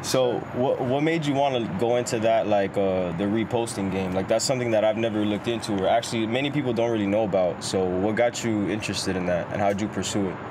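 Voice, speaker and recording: Over noticeable background noise, a man with a fairly low pitch and ordinary pitch variation speaks at a very fast pace with hardly any pauses. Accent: American. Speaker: podcast host. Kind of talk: casual chat.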